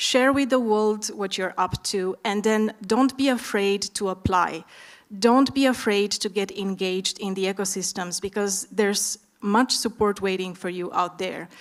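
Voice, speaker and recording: A woman speaks with an Eastern European accent at a medium pitch. Her pace is fairly slow and her intonation fairly even. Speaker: startup expert, panelist. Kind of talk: conference panel discussion.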